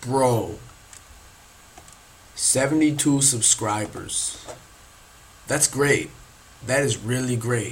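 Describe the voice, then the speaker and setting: A man's medium-pitched voice at a very slow pace, with fairly even intonation, long, frequent pauses and noticeable background noise. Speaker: podcast host. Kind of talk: casual monologue podcast. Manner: casual, filler-heavy.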